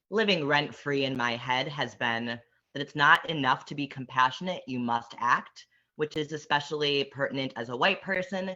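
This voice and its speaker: In an American accent, a man with an unremarkable speaking voice talks at a moderate pace, his pitch fairly high with ordinary variation. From Wisconsin, Milwaukee area. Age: young. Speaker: youth activist panelist. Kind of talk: panel discussion.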